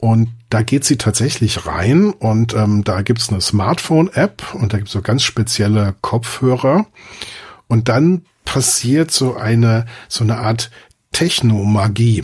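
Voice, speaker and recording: At a very slow pace, a man talks in a medium pitch with ordinary pitch variation and a somewhat breathy quality. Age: 50s. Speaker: film podcaster. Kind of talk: casual chat.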